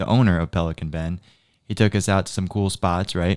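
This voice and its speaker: Very deep and low, a man's voice carries fairly even intonation, dry and close with no echo on a very clean recording with a silent background. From Naples, Florida. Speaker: podcast co-host.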